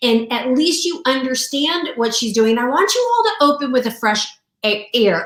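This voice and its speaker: Over noticeable background noise, a woman speaks at a high pitch and moderate pace, animated in tone with lively intonation. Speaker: sales coach and mentor. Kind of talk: live-streamed sales launch party. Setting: live video stream.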